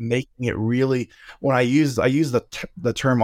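Speaking in an unremarkable speaking voice with an American accent, the voice moves at a moderate pace with fairly even intonation, the sound dry and close with no echo on a very clean recording with a silent background. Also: man. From Oklahoma. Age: 40s. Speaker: pastor and barbecue content creator. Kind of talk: casual interview chat.

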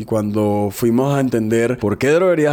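Noticeable background noise runs under the speech. The pace is moderate and the pitch varies in an ordinary way. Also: man. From Colombia, Barranquilla (Caribbean coast). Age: 30s. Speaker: entrepreneur, company founder. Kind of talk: interview testimony.

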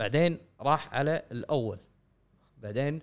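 A man speaks with a Kuwaiti accent. His pitch varies in an ordinary way. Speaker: video game podcast co-host. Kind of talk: casual chat.

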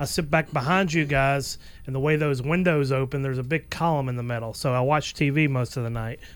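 Speaking at a fairly quick pace in an American accent, a man uses a plain, everyday voice with fairly high pitch and fairly even intonation. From US South. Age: 40s. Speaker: podcast producer and engineer. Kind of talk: casual chat.

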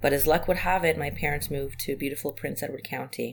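A woman speaks with a very deep, low voice. Vocal fry runs through her speech. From Israel. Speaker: community organizer. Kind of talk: interview conversation.

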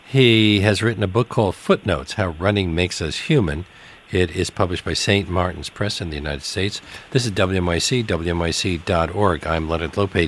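Through noticeable background noise, a man speaks at a moderate pace with ordinary pitch variation. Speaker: radio talk show host. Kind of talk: radio interview. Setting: radio studio.

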